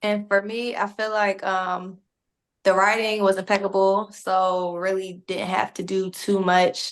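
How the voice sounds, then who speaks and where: A woman's monotone, flat delivery in a Philadelphia accent, medium pitch, fairly slow pace, quiet background. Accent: Philadelphia, northern US. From Philadelphia, US Northeast. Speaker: actor. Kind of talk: press interview.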